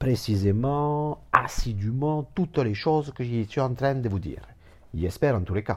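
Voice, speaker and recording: Recorded very cleanly against a silent background, a man talks at a fairly slow pace with very wide pitch swings. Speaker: therapist. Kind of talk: informal lecture. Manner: rambling, repetitive, digressive.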